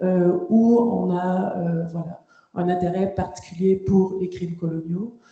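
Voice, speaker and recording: A woman at a medium pitch talks very slowly with fairly even intonation. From Quebec. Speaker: lawyer and law lecturer. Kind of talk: round-table panel talk. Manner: hesitant, many fillers.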